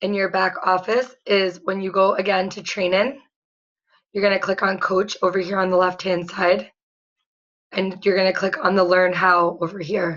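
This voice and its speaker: A woman talks in a monotone, flat way. Her pitch sits in the medium range. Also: moderate pace. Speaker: fitness coach. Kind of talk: tutorial. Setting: screen-share video. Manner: casual.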